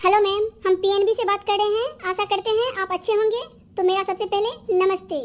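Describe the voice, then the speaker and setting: The voice is an extremely high-pitched cartoonish character. It moves along at a fairly quick pace. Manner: formal, polite.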